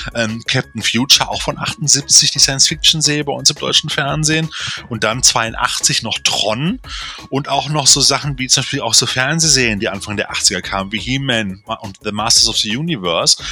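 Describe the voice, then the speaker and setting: An animated man speaks at a medium pitch and a moderate pace. His pitch varies in an ordinary way over noticeable background noise. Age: 40s. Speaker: film podcast co-host. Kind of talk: casual chat.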